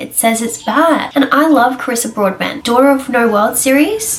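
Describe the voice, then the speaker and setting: Over noticeable background noise, a woman speaks in an Australian accent with ordinary pitch variation. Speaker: book reviewer. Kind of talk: casual chat. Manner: animated.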